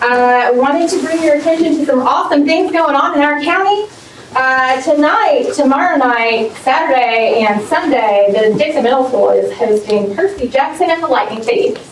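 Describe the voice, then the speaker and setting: A woman with an American accent speaks at a moderate pace and high pitch, her pitch swinging very widely while her loudness stays very even. Audible room echo and noticeable background noise are present. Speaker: teachers' association representative. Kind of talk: public comment at board meeting. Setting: board meeting room, no microphone. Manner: halting. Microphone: speaking without microphone.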